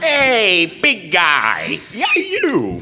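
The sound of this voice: A put-on character voice sounds female, squeaky and high-pitched. Clear background noise is present.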